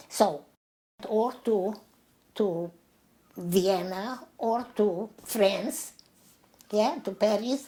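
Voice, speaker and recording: Speaking at a very slow pace, a woman leaves long, frequent pauses. Her voice is fairly high, with ordinary pitch variation. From Transylvania, Romania. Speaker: Holocaust survivor. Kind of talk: interview answer.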